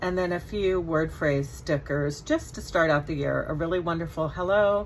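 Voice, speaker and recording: Moving at a moderate pace, the voice carries vocal fry and fairly even intonation, with audible room echo around it. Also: woman. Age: 60s. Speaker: scrapbooking hobbyist. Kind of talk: casual chat. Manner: chatty.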